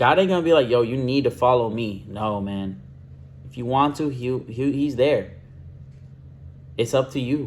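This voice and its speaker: Mumbled speech at a moderate pace, with ordinary pitch variation and long, frequent pauses. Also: man, medium pitch for a man. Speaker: vlogger. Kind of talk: casual monologue vlog. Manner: rambling, self-described mumbling.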